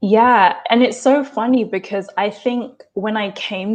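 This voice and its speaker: This woman has an English accent. She talks fairly slowly. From England, London. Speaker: actor and dancer. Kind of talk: interview.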